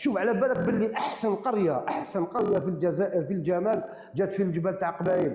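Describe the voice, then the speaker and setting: A man speaks fairly quickly in a high voice with ordinary pitch variation and very even loudness. Music plays in the background, and room echo is audible. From Algeria, Boumerdes area. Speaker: live-stream debater. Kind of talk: heated debate. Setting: live stream.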